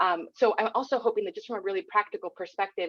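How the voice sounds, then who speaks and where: Talking at a fairly quick pace with a Spanish accent, a woman uses a fairly high pitch that swings very widely. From California, US. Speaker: speech language pathologist researcher. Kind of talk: webinar panel discussion. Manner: halting, many fillers and repeats.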